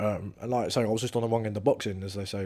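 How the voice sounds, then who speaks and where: Over a silent background on a very clean recording, a man speaks very fast in a flat monotone, his fairly low voice dark and mellow. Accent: English. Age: 20s. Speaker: professional boxer. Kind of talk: interview. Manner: casual.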